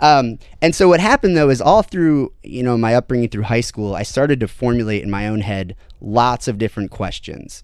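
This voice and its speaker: Against a quiet background, a man talks at a fairly quick pace with lively intonation and a medium pitch. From US Midwest, Ohio (Toledo area). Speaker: podcast guest discussing spirituality. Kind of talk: casual conversation. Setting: studio table with drinks.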